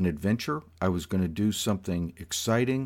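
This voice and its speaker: A plain, everyday voice from a man, with lively intonation at a moderate pace, on a very clean recording with a silent background. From South Florida. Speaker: podcast host. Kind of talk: personal storytelling monologue.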